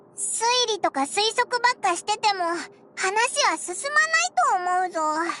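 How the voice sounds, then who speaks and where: A put-on character voice at an extremely high pitch moves at a moderate pace with long, frequent pauses. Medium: video game. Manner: casual, boyish speech.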